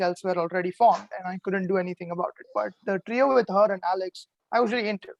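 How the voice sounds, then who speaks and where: At a fairly quick pace, a man with a non-native accent speaks in a high pitch with ordinary pitch variation. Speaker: eliminated reality game contestant. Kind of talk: casual chat. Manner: relaxed, laid back.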